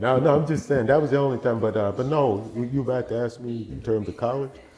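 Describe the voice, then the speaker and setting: Noticeable background noise sits behind a man talking very fast. His pitch is medium and his intonation fairly even. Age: 60s. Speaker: podcast guest. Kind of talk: casual chat.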